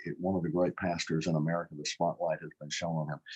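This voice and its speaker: Speaking with a Louisiana accent, a man talks at a fairly quick pace in a very deep, low pitch. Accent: Louisiana Southern US. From Baton Rouge, Louisiana, US South. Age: 70s. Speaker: state politician. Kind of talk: interview conversation. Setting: live online broadcast.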